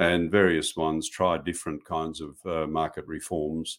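In a very clean recording with a silent background, a man with an Australian accent speaks at a moderate pace in a very deep, low pitch. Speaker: professor. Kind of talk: interview. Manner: hesitant, many fillers.

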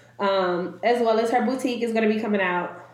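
A woman's animated voice amid audible room echo and noticeable background noise. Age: 20s. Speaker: podcast co-host. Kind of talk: casual chat.

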